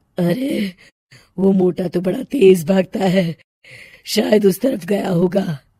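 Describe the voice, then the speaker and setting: In a put-on character voice, the speaker sounds raspy and cackling, moving at a fairly slow pace with long, frequent pauses. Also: woman, medium pitch for a woman. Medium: read story. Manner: cackling, menacing.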